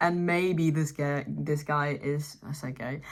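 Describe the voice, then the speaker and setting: Speaking with a non-native accent is a woman. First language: not English. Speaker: commentary YouTuber. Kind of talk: casual commentary to camera.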